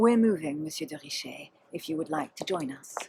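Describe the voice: Using a put-on character voice, a woman speaks low with lively intonation and vocal fry. Her tone is dark and mellow, with a husky, rough edge. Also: fairly quick pace.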